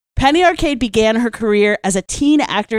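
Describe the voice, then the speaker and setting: Dry, close sound with no echo and a very clean recording with a silent background carry a woman's plain, everyday voice at a moderate pace with lively intonation. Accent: American. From US, Virginia. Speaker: podcast host and magazine editor. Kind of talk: casual chat. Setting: studio.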